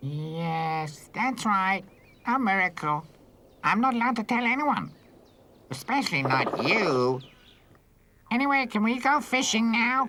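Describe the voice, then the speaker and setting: A put-on character voice, fairly high in pitch, with very wide pitch swings, a fairly slow pace and long, frequent pauses. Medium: fan dub. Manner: cheeky, playful.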